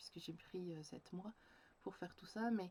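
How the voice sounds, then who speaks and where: Moderate-paced speech in a dark, mellow tone, its pitch varying in an ordinary way. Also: woman. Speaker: creative journaling coach and vlogger. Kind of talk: personal video diary reflection. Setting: home, sitting on the floor by a bookshelf facing a window. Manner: halting, many hesitations.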